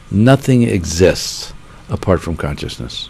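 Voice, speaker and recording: Noticeable background noise accompanies a voice that swings very widely in pitch. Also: man. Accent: American. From Pittsburgh, Pennsylvania, US. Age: 70s. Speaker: meditation teacher. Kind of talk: interview.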